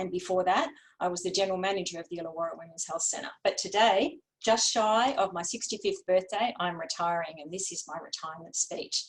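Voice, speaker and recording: A woman with an Australian accent at a fairly quick pace, medium pitch, and ordinary pitch variation. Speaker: women's health advocate. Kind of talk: prepared speech. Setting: webinar.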